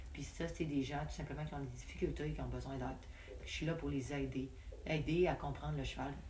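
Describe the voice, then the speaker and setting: Audible room echo hangs around this voice. It belongs to a woman, heard over noticeable background noise. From Quebec, Lac-Saint-Jean (Roberval). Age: 20s. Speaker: barrel racer and riding coach. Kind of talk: casual interview.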